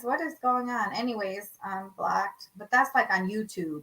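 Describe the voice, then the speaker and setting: A woman talks with a Lao accent. Her pace is moderate. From Laos (Lao refugee background). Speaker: podcast co-host. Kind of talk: casual live podcast chat. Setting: livestream from home. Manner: animated.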